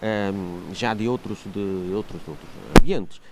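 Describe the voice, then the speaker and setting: A man speaks with ordinary pitch variation. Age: 60s. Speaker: local election candidate, archaeologist and professor. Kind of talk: TV interview. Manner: halting, many fillers and repetitions.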